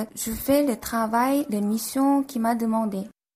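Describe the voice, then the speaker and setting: Speaking very slowly with a Korean accent, a woman uses a fairly high pitch and ordinary pitch variation. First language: Korean (speaking French). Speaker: architect and author. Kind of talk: radio interview.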